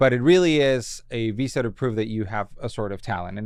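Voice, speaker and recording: Against a quiet background, a man with a Spanish accent speaks at medium pitch and a moderate pace with ordinary pitch variation. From Colombia (Bogotá). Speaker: comedy writer. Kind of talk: casual interview chat. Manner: filler-heavy casual speech.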